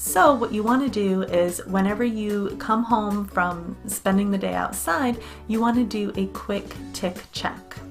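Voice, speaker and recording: Over background music, a woman with an American accent speaks at a fairly slow pace. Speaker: English teacher. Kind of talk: casual educational talk to camera.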